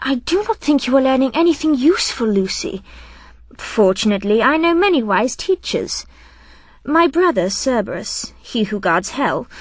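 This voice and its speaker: Putting on a character voice, a woman speaks breathily at a high pitch with very wide pitch swings, a moderate pace and very even loudness. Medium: read story. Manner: haughty, airy, disdainful.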